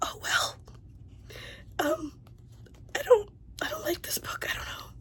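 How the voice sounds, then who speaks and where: Whispering at a fairly slow pace. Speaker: book vlogger. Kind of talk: casual vlog talk.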